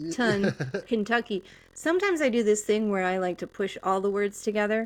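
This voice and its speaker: A woman talks in a plain, everyday voice. Her pitch is medium and her pace fairly quick. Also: ordinary pitch variation. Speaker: podcast host. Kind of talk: casual chat.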